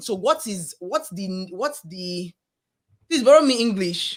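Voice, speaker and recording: Animated in tone, a woman with a strong Nigerian accent speaks at a medium pitch that makes very wide swings. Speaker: podcast co-host. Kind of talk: casual chat.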